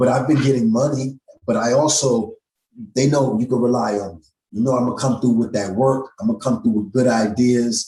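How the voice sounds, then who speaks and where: A man with an American accent speaks fairly quickly at a medium pitch, his tone dark, mellow and somewhat breathy, with very even loudness and fairly even intonation. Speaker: musician. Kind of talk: casual chat.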